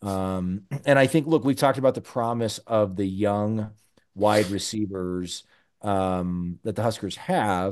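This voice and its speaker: A man speaks in an ordinary speaking voice. His pitch is fairly low, and he talks at a fairly slow pace. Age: 40s. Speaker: podcast host. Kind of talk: casual chat.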